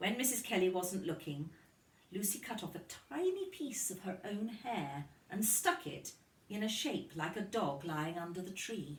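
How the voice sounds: With audible room echo, a woman speaks at a fairly slow pace in a fairly low pitch, her intonation lively.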